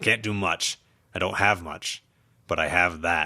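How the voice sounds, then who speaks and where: In a very clean recording with a silent background, a man does a put-on character voice that is raspy and rumbling, very deep and low in pitch, at a moderate pace with fairly even intonation. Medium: read story. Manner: grumbling, begrudging.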